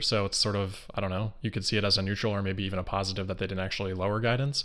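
In a quiet background, a man speaks very fast at a fairly low pitch with fairly even intonation. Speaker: remote interview guest, investor commentator. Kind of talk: interview answer. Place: home room. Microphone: video call.

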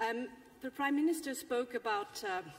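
A woman speaks with a fairly high pitch. Her pace is moderate. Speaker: policy official speaking on a panel. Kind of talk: formal panel presentation. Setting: parliament plenary hall. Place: hall. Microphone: podium.

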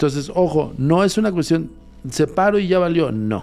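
A man speaks with ordinary pitch variation over faint music in the background. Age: 40s. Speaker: paranormal investigator; guest. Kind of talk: casual chat. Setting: studio. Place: studio. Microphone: studio mic.

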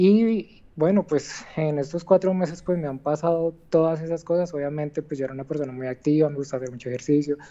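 At a fairly quick pace with hardly any pauses, a woman speaks in a very deep, low pitch with a dark, mellow tone and ordinary pitch variation. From Colombia, not Medellín region. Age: 30s. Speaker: cancer patient. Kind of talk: testimony. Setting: phone call from hospital. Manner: soft-spoken; halting.

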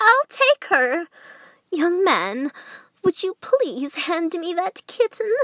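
A cartoonish character voice, female-sounding and extremely high in pitch, at a very slow pace with long, frequent pauses. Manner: warm, tender.

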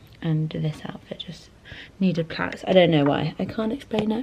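Over light background noise, a woman uses an ordinary speaking voice, fairly low in pitch, moving at a fairly quick pace with lively intonation. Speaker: fashion vlogger. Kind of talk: casual vlog chat. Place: home room. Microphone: camera far.

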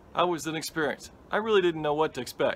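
Loud background noise surrounds a man as he talks. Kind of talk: casual vlog chat. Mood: reflective, enthusiastic. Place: garden. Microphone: phone near.

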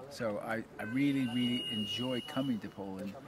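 Through loud background noise, a man with an American accent speaks at a moderate pace with ordinary pitch variation, the sound dry with no echo. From US. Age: 70s. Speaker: interviewee, Zamoyski family descendant and genealogy researcher. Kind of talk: casual interview. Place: garden.

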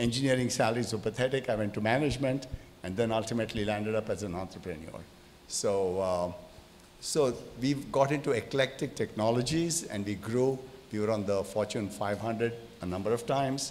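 The man talks at a fairly quick pace. Light noise sits in the background. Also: ordinary pitch variation. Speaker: speaker. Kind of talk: panel discussion answer. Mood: relaxed storytelling. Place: hall. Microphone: handheld.

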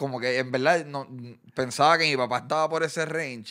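Bright, sharp tones from a man, set in a quiet background. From Puerto Rico. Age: 30s. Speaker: content creator and boxing event promoter; content creator. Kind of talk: casual interview chat. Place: studio. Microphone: studio mic.

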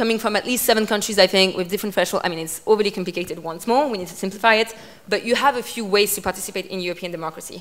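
A woman with a French accent speaks at a very fast pace with ordinary pitch variation. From France. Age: 20s. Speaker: politician; guest. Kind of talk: talk with audience Q&A. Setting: stage with audience. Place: hall. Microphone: handheld.

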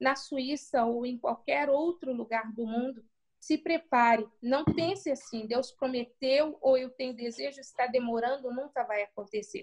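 Against a quiet background, a woman with a high pitch speaks at a fairly slow pace with ordinary pitch variation. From Brazil. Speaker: pastor and missionary; pastor. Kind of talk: interview. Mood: earnest, encouraging. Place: home room. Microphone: video call.

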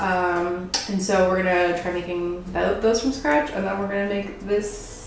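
At a moderate pace, a woman talks amid audible room echo and light background noise. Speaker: cooking channel host. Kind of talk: cooking tutorial chat. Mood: cheerful, laughs often. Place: kitchen. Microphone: camera far.

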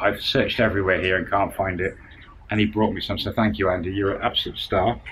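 A man speaks with a British accent over light background noise. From UK. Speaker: vlogger, expat retiree; vlogger. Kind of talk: casual vlog monologue. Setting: outdoors at home, filming to camera. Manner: halting. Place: garden. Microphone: phone near.

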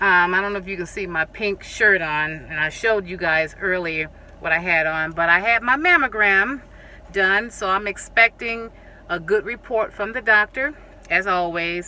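At a moderate pace, a woman talks with ordinary pitch variation in a dry sound with no echo. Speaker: home decor vlogger. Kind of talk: casual vlog chat. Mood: cheerful, grateful. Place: car. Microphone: phone near.

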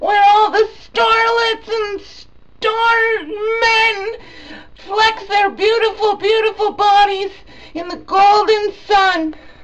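A squeaky put-on character voice, very slow in pace, with fairly even intonation. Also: woman, extremely high pitch for a woman. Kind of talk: comic overacting. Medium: comedy sketch. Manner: rambling, repetitive, crude.

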